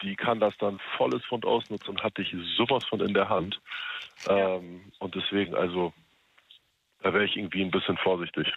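This man has a fairly low pitch and fairly even intonation. He keeps a moderate pace but leaves long, frequent pauses. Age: 30s. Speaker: radio call-in listener. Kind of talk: casual phone chat.

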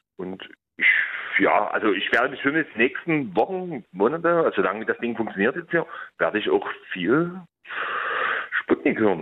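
A man speaks at a moderate pace, pausing long and often. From outskirts of Dresden, Saxony. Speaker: caller. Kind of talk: phone-in conversation.

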